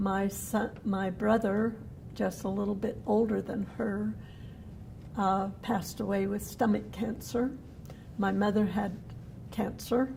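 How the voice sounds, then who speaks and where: In a Utah accent, a woman with a medium-pitched, dark, mellow tone and vocal fry speaks at a very slow pace with monotone, flat intonation. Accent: Utah American English. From Cedar City, Utah. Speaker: downwinder, cancer survivor. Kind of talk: oral history interview answer.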